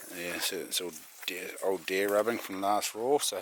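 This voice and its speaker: With a New Zealand accent, a man talks at a moderate pace with fairly even intonation. Background noise is noticeable. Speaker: hunting and bushcraft vlogger. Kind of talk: casual vlog chat. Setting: outdoors in the bush. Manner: quiet.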